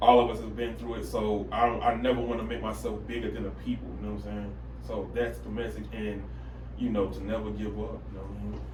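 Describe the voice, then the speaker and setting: Amid audible room echo and noticeable background noise, a man with a very deep, low pitch talks at a very fast pace, with fairly even intonation and big swings in loudness. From Alabama, Birmingham. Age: 30s. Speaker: rapper. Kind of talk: interview.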